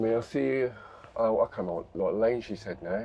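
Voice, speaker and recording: Light background noise sits behind the speech. The pace is fairly slow. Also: man. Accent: English. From England. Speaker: travel vlogger. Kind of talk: casual driving vlog commentary. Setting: in a car. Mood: slightly confused, questioning. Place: car. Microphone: camera far.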